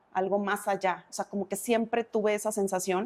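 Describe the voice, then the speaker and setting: A dark, mellow tone carries speech at a moderate pace in a very clean recording with a silent background. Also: woman. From Mexico, Uruapan, Michoacán. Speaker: insurance and savings advisor, speaker. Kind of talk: interview conversation.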